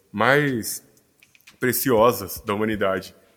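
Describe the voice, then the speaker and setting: A man talks at a medium pitch. Music can be heard in the background. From Brazil, Cuiabá, Mato Grosso. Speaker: physician. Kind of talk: interview.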